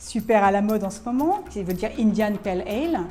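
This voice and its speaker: A woman at a moderate pace with ordinary pitch variation, audible room echo around her. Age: 60s. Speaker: bar manager, former media planner. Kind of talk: interview testimony. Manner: hesitant, many fillers.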